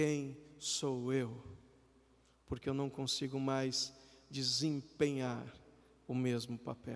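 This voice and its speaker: A man's fairly high voice, monotone and flat in intonation, at a very slow pace. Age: 40s. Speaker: preacher, missionary. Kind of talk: live sermon in church.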